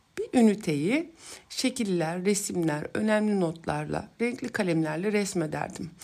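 Dark and mellow in tone, a woman's medium-pitched voice moves at a fairly slow pace. Her intonation is lively. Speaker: psychologist podcast host. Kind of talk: personal storytelling monologue.

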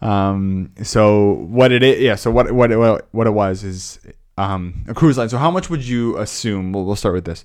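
A man with an unremarkable speaking voice and a fairly low pitch speaks at a moderate pace with ordinary pitch variation against a quiet background. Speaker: podcast co-host. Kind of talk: casual chat.

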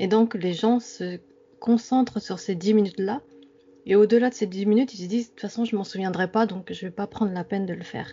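In a normal speaking voice, a woman talks at a fairly quick pace with medium pitch, fairly even intonation and big swings in loudness. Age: 30s. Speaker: dream enthusiast. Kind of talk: interview.

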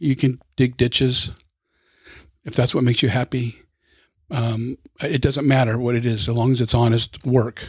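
A man talks in a medium pitch that is somewhat breathy. His intonation is monotone and flat, with long, frequent pauses. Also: moderate pace. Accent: American. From Southern California, LA County. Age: 60s. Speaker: retired firefighter. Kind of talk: casual chat.

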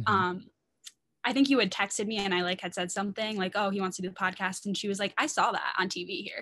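Very fast delivery with an American accent, a bright, sharp tone, and ordinary pitch variation. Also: woman, medium pitch for a woman. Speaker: podcast guest, former date of the host. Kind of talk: casual chat.

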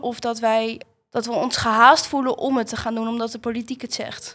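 The speech moves at a moderate pace with fairly even intonation. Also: woman. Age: young. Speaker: vocational student. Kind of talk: political discussion.

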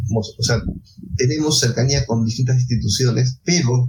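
Noticeable background noise sits under a man speaking at a medium pitch and moderate pace. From Peru, Ica. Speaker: bioinformatics society vice president, biologist. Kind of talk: interview.

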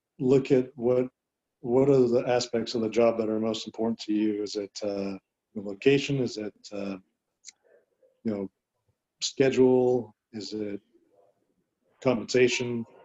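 Speaking with an American accent at a fairly slow pace, the voice keeps a fairly even intonation and leaves long, frequent pauses. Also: man, medium pitch for a man. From Southern California. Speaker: physician and medical director. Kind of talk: interview.

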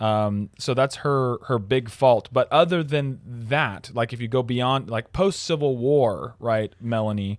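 A man with an ordinary speaking voice speaks at a fairly slow pace, his medium pitch showing ordinary pitch variation. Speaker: podcast host. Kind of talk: casual chat.

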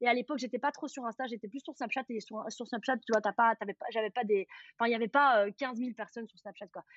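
Against a quiet background with a dry, close sound and no echo, a woman speaks very fast in a fairly high pitch, her intonation fairly even but her loudness swinging widely. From Belgium, Charleroi region. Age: 30s. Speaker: influencer. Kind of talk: casual chat.

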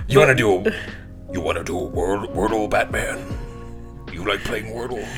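A man talks in a put-on character voice at a very slow pace. Loud music plays in the background. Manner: creepy, menacing.

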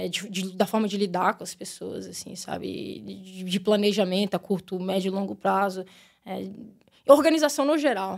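This woman has an unremarkable speaking voice, a medium pitch and a moderate pace. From Brazil, Brasília. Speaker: women's football coach. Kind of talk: casual interview. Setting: studio.

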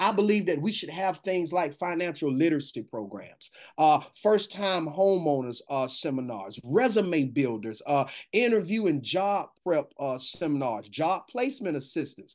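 A man speaks with a fairly high pitch and very wide pitch swings. The background is quiet. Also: moderate pace. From US South, Macon, Georgia. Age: young. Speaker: pastor. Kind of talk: interview.

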